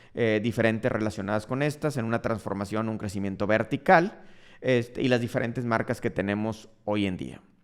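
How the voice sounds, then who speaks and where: Speaking with a northern Mexican accent, a man of medium pitch talks at a moderate pace on a very clean recording with a silent background. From Mexico, Monterrey, Nuevo León. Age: 40s. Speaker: dermatologist and entrepreneur, podcast host. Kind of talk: personal storytelling monologue.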